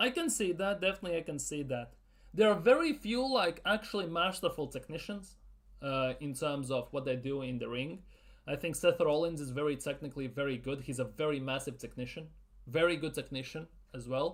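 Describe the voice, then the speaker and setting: Speaking fairly quickly with a non-native accent, a man uses lively intonation at a fairly high pitch. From Latvia. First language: not English. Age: 30s. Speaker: football YouTuber. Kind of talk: live Q&A stream. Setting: live stream. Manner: casual, repetitive.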